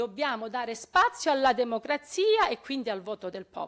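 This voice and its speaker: A plain, everyday voice, with lively intonation at a moderate pace. The recording is very clean with a silent background. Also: woman. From Calabria. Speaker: local activist. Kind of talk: audience question.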